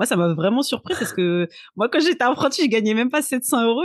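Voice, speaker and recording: A woman talks at a fairly quick pace with fairly high pitch and very wide pitch swings. The background is quiet and the sound dry and close, with no echo. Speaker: podcast host. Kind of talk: podcast interview, casual. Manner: upbeat.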